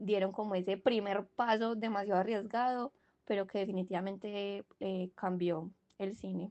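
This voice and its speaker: With a strong Antioquian accent, a woman speaks at a moderate pace and a medium pitch. Her intonation is fairly even. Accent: strong paisa. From Colombia, Medellín (paisa). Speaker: university student podcast co-host. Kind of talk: casual discussion podcast. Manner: hesitant, many fillers.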